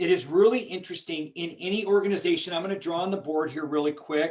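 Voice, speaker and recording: A man with a high pitch talks very fast, his pitch varying in an ordinary way. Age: 50s. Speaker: business coach. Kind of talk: online workshop presentation. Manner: animated.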